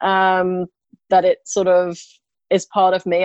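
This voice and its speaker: A woman speaks at a medium pitch with an English accent. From England. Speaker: interior designer. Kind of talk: interview. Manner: hesitant, many fillers.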